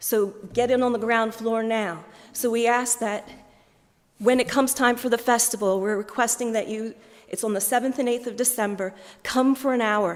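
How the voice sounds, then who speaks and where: A woman's plain, everyday voice with an American accent, fairly high in pitch, with fairly even intonation at a moderate pace, on a very clean recording with a silent background. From US, Philadelphia. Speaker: diocesan fundraising manager. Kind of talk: appeal speech to church congregation.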